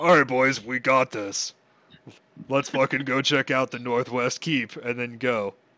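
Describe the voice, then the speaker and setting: At a fairly slow pace, the man performs a put-on character voice pitched in the medium range. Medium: actual play. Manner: brash, cocky.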